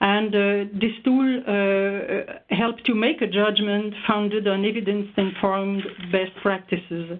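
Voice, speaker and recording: A woman with a Quebec accent speaks at a fairly slow pace in a medium pitch, her intonation fairly even, her loudness very even and her pauses hardly there. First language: French. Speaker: researcher. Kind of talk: webinar presentation. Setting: online webinar. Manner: halting, many hesitations.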